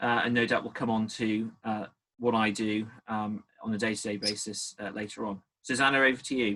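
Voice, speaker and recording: Speaking with a strong Geordie accent, a man has a medium pitch, a bright, sharp tone and fairly even intonation. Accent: thick Geordie. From northeast England, Newcastle area. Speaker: naval officer and barrister. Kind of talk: panel talk at professional event.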